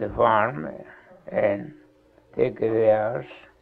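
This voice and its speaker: A man's very slow delivery is accompanied by noticeable background noise. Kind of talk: interview answer.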